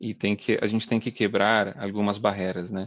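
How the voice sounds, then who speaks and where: Here a man speaks at a fairly low pitch with fairly even intonation. The sound is dry and close with no echo, over a quiet background. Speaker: oil and gas drilling engineer. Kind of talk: webinar talk. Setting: live video webinar. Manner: hesitant, many fillers.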